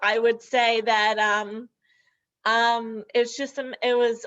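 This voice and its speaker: Over a quiet background, a woman with a normal speaking voice talks at a fairly high pitch with fairly even intonation. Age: 30s. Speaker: person with bilateral upper limb loss. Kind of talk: webinar panel discussion.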